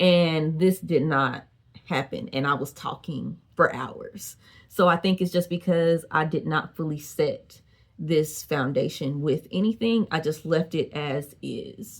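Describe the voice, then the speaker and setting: An unremarkable speaking voice, its pitch varying in an ordinary way. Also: woman, fairly low pitch for a woman. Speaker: beauty vlogger. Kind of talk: product review. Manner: casual, chatty.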